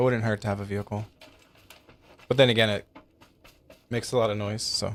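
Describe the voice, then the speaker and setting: The man's pitch sits fairly low, and his intonation is monotone and flat. He speaks at a fairly quick pace. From desert region. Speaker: gaming streamer. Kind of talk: live gameplay commentary. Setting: live stream. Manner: casual, halting with fillers.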